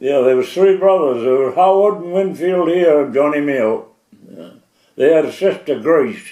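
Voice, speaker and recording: A man's fairly high-pitched voice, dark and mellow in tone, with a coastal Maine accent and big swings in loudness. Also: ordinary pitch variation, moderate pace. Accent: Maine coastal New England. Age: 80s+. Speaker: elderly islander. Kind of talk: oral history interview. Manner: halting.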